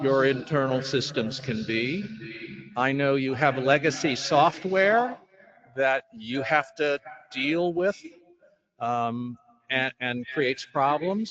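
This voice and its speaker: Ordinary pitch variation runs through this voice. A man talks very slowly. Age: 70s. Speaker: family member of service participant. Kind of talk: public comment at listening session. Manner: halting.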